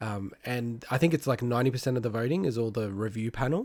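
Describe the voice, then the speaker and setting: This man's medium-pitched voice has ordinary pitch variation, on a very clean recording with a silent background. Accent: Australian. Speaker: gaming podcast co-host. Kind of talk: casual chat.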